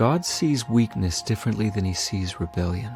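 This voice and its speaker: Over music in the background, a man with a fairly low pitch talks at a moderate pace. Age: 40s. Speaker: recovering addict, church member. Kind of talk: personal testimony narration. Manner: earnest, reflective.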